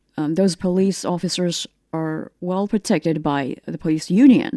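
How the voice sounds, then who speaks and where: In a Chinese accent, the voice comes at a moderate pace with a dark, mellow tone, recorded dry and close with no echo against a quiet background. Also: woman. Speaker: talk show host. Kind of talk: panel discussion moderation. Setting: studio.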